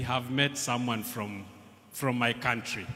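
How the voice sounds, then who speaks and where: Fairly even intonation with audible room echo. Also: man. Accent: Kenyan. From Kenya. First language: Kikuyu. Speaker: language researcher. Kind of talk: festival speech. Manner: halting.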